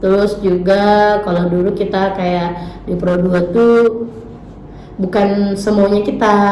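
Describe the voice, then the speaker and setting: A woman talks at a very slow pace in a relaxed tone, with monotone, flat intonation and long, frequent pauses. Audible room echo and noticeable background noise fill the recording. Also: medium pitch for a woman. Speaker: radio announcer. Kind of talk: casual interview. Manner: relaxed, casual.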